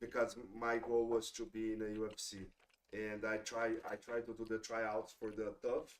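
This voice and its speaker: Speaking at a moderate pace with a Portuguese accent, a man of medium pitch keeps a monotone, flat intonation. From Brazil, São Paulo state. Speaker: jiu-jitsu instructor and former MMA fighter. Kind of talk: casual podcast interview. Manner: halting, many fillers.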